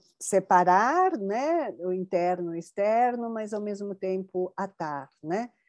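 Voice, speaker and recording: A woman speaks at a very slow pace with hardly any pauses, her pitch medium and its variation ordinary. Music plays in the background. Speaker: researcher of Japanese culture. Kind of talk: interview conversation.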